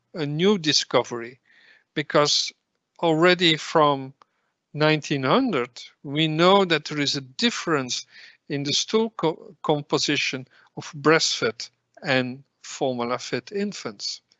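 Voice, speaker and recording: A man with a fairly high pitch speaks at a very slow pace, leaving long, frequent pauses, his pitch varying in an ordinary way. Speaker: professor of pediatrics, lecturer. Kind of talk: lecture.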